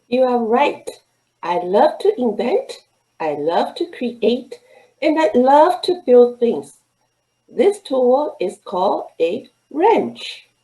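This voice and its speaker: Speaking at a very slow pace with long, frequent pauses, a female-sounding voice puts on a high-pitched character voice. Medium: read story. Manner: enthusiastic.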